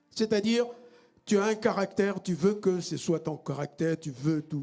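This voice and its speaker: A man's high-pitched voice with lively intonation at a moderate pace, music in the background. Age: 60s. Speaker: pastor. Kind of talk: sermon.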